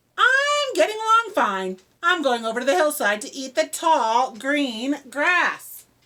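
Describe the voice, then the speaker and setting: A woman performs a put-on character voice with a high pitch and very wide pitch swings. She goes at a fairly slow pace with hardly any pauses. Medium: read story.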